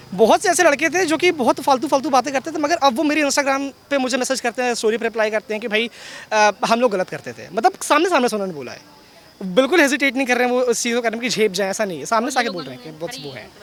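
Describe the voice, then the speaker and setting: A man speaks at an extremely high pitch with lively intonation and big swings in loudness. Noticeable background noise runs underneath. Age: 20s. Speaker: voter interviewed outside polling center. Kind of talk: street interview. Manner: halting.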